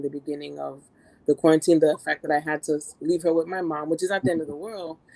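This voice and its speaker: Very fast and fairly even in intonation, a woman speaks at a very deep, low pitch with a dark, mellow tone. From US Northeast, Brooklyn. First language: French. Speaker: nurse and entrepreneur. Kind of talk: interview conversation.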